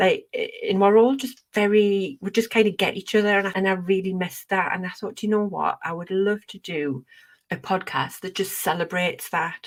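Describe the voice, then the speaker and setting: With a Geordie accent, a woman speaks at a moderate pace with big swings in loudness. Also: medium pitch for a woman, ordinary pitch variation. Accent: gentle Geordie. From northern England, Northumberland near Newcastle. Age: 40s. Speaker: podcast host. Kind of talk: casual chat.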